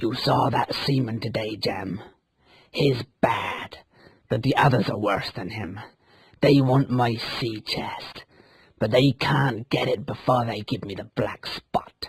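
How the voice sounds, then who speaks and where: A man puts on a growling character voice at a medium pitch, speaking fairly slowly. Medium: read story.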